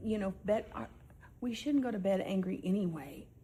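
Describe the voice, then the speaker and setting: Heard with audible room echo, a woman speaks in a calm tone at a fairly slow pace. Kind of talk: heated argument.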